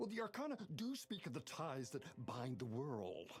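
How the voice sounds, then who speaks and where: In a put-on character voice, the speaker takes a low-to-middle pitch and makes very wide pitch swings. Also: moderate pace. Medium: video game. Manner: hesitant, rambling.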